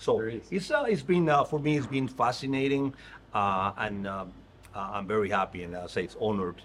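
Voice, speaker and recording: The intonation is lively. The pace is moderate. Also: man, medium pitch for a man. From Mexico, Tabasco. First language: Spanish. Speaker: restaurant industry executive. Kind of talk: interview. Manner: halting.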